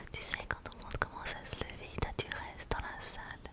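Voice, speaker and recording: Someone whispers over noticeable background noise. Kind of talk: ASMR casual chat. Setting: binaural microphone. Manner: whispered.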